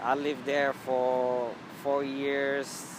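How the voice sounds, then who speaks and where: Very slow speech from a man at a medium pitch, amid noticeable background noise and audible room echo. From Ethiopia. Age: 30s. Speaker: immigrant interviewee. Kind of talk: interview. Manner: halting, many fillers.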